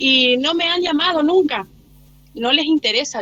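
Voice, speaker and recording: The woman speaks at a very slow pace. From Argentina, Chaco (Machagay). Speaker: teacher. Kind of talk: online class discussion. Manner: halting, many fillers.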